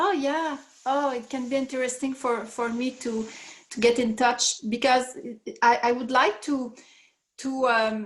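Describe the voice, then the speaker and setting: In a Quebec accent, the speaker goes at a fairly slow pace with fairly even intonation and long, frequent pauses. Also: woman, high pitch for a woman. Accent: French Canadian accent in English. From Quebec, Canada. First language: French. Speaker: participant in online group call. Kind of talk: casual group call conversation. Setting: group call. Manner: halting, many hesitations and repetitions.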